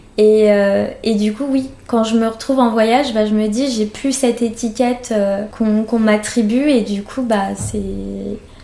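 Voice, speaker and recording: A woman's fairly high voice, flat and monotone, at a fairly slow pace over noticeable background noise. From France. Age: 30s. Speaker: interviewee sharing adoption story. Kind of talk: personal testimony interview. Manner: hesitant, many fillers.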